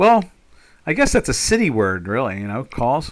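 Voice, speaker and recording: Very wide swings in pitch run through this man's speech, delivered with an American accent. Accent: New York accent, as viewer remarks. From South Jersey, Pinelands. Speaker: trader. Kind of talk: live trading stream chat. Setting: live stream. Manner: halting, many fillers.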